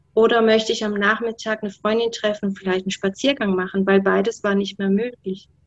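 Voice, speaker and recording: A woman at medium pitch and a moderate pace, her intonation fairly even. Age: 40s. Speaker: guest sharing health story. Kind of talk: interview testimony. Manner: hesitant with many fillers.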